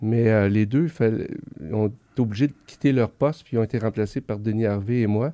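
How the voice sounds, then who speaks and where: A man speaks at a medium pitch and a moderate pace with fairly even intonation. It is an ordinary speaking voice. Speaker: veterinarian. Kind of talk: interview.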